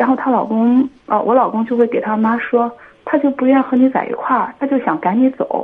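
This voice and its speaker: Over noticeable background noise, a woman talks at a fairly quick pace in a high voice with fairly even intonation. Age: 30s. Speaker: caller seeking marriage advice. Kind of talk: phone-in advice call. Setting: phone call.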